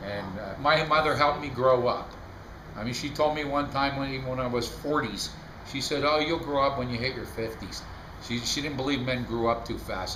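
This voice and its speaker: A man's medium-pitched voice with ordinary pitch variation, fairly quick pace, audible room echo and noticeable background noise. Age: 60s. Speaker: family storyteller. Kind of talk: casual storytelling.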